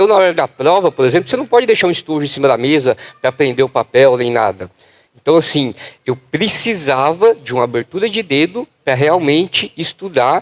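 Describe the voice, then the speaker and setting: Recorded dry and close with no echo, a man talks at a fairly quick pace in a fairly high pitch with lively intonation. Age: 20s. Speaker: patient advocate. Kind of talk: panel discussion. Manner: animated.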